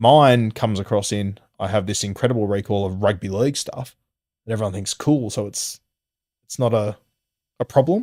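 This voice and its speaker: On a very clean recording with a silent background, a man speaks at a fairly quick pace. His pitch is fairly low, with ordinary variation. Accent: Australian. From Sydney, Australia. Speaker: rugby league podcaster and former primary teacher. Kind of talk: interview answer. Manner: casual, conversational.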